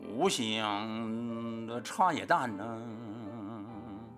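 Clear music plays behind a man using a put-on character voice. His pitch sits in the medium range. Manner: calling out, selling.

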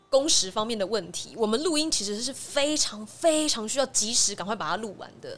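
A woman with a fairly high pitch talks at a fairly quick pace with lively intonation, big swings in loudness and hardly any pauses, against noticeable background noise. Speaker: voice actress. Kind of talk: interview.

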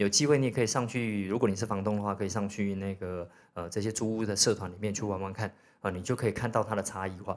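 A man's fairly low voice at a very fast pace, on a very clean recording with a silent background. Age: 40s. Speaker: podcast host, real estate investor. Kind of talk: solo podcast talk. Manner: casual, many fillers.

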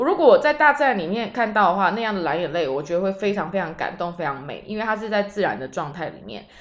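A woman at medium pitch, very fast, with very wide pitch swings and hardly any pauses. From Taiwan. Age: 30s. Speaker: podcast host, tour leader. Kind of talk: casual solo monologue.

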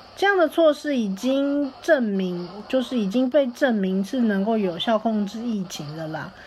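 Woman's fairly high voice with very wide pitch swings and hardly any pauses. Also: fairly slow pace. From Taipei, Taiwan. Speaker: host's university classmate. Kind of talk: recorded message.

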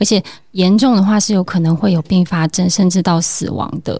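A woman speaks in a normal speaking voice at a fairly low pitch. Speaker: family medicine doctor. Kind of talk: interview.

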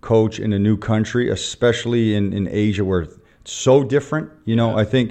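With a Canadian accent, this man has a normal speaking voice, a fairly low pitch and fairly even intonation. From Canada. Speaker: basketball coach. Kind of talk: interview.

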